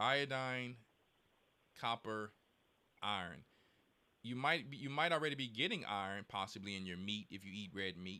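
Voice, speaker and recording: A man with an animated, bright and sharp tone, a moderate pace and long, frequent pauses. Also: fairly low pitch for a man, lively intonation. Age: 40s. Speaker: church elder answering callers on health. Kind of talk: casual advice chat with callers.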